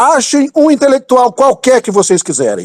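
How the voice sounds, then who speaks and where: The man's tone is animated, his intonation lively. The sound is dry and close, with no echo. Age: 50s. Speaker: political commentator. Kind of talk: heated political rant. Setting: online audio chat room.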